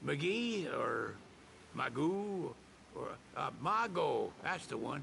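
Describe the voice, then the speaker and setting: Clear background noise sits behind a man doing a put-on character voice in a Southern US accent. The voice is gruff and the pace very slow. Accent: Southern US drawl. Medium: video game. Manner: gruff, folksy, laconic.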